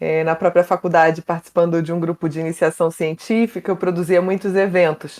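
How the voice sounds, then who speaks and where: In a Carioca accent, a woman talks at a fairly quick pace with hardly any pauses. Her fairly low voice is monotone and flat, with a dry, close sound and no echo. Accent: carioca (Rio) accent, noticeable. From Brazil, Rio de Janeiro. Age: 30s. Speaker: mental health communicator, psychoanalysis. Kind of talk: podcast interview.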